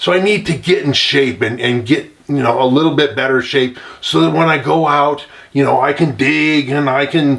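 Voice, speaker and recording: Noticeable background noise behind a man speaking at a medium pitch, moderate in pace, with ordinary pitch variation. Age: 60s. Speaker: gold prospector. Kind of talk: casual talk to camera. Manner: relaxed, with many fillers.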